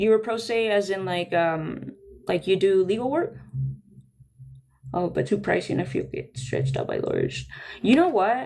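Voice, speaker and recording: With a Spanish accent, a woman talks at a moderate pace, leaving long, frequent pauses and making very wide pitch swings. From Sonora, Mexico. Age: 30s. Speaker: livestreamer. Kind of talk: casual livestream chat. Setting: home music room, live stream.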